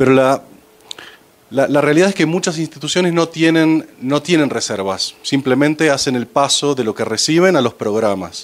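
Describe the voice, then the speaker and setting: With an Argentine accent, a man speaks at a moderate pace in a fairly high pitch with lively intonation, amid noticeable background noise. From Argentina. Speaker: finance executive. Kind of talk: presentation to audience. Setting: panel talk with audience. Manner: hesitant, many fillers.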